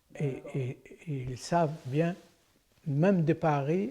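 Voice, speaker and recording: A very slow, somewhat breathy delivery with a dark, mellow tone and fairly even intonation. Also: man. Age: 80s+. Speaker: general practitioner. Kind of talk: interview answer.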